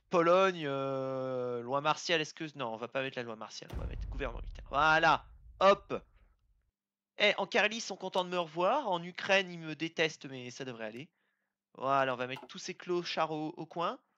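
The speaker has an animated tone and a moderate pace, with long, frequent pauses. The background is quiet. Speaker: gaming video creator. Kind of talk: let's play commentary.

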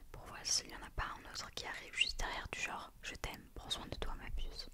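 A woman whispers at a fairly quick pace, her loudness swinging widely. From southern France. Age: 20s. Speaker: ASMR creator. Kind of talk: whispered book reading. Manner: whispered, soft. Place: home room. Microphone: studio mic.

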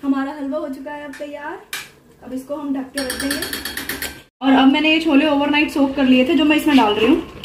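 With audible room echo, a woman at a high pitch talks at a fairly quick pace and keeps her intonation fairly even.

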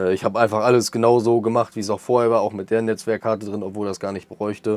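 The words come very fast. This man's voice sits at a medium pitch. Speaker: tech YouTuber. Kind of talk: product review. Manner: casual, many filler sounds.

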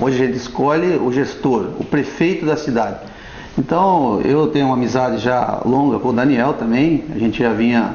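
Audible room echo surrounds a man who speaks at a moderate pace with ordinary pitch variation. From Brazil, Paraná coast (Pontal do Paraná). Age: 40s. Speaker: local political candidate and fisherman. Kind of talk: TV interview. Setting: TV studio. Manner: halting, with frequent repetitions. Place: studio.

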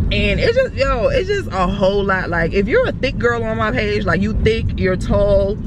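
A woman talks at a moderate pace with hardly any pauses, in a dry, echo-free sound over noticeable background noise. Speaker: vlogger. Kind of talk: casual vlog chat. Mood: frustrated venting about jeans. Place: car. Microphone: phone near.

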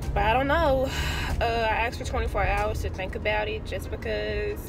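With noticeable background noise but a dry sound with no echo, a woman speaks at a moderate pace. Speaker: vlogger. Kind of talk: casual vlog chat. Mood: uncertain, thoughtful. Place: car. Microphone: phone near.

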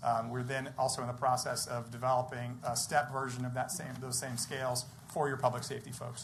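With monotone, flat intonation and hardly any pauses, a man with a medium pitch talks at a fairly quick pace amid audible room echo and noticeable background noise. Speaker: compensation consultant presenting to city council. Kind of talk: presentation at council meeting. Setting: city council meeting. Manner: fast.

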